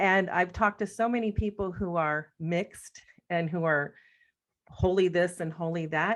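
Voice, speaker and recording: A woman with a plain, everyday voice speaks in an American accent at a moderate pace over a quiet background. Her pitch is fairly low and her intonation fairly even. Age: 60s. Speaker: death doula teacher. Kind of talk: casual discussion.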